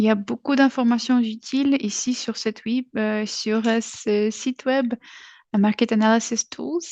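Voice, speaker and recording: A woman with a non-native accent speaks at a fairly slow pace and a fairly high pitch. Her intonation is fairly even, and the sound is dry and close with no echo. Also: quiet background. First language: not French (speaking French). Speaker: webinar presenter. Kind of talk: webinar presentation. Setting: online webinar. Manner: halting, many hesitations.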